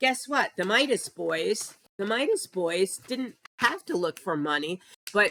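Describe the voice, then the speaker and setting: Using lively intonation at a fairly slow pace, a woman talks at medium pitch. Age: 60s. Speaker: political commentator, former news editor. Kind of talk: casual monologue vlog. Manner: animated.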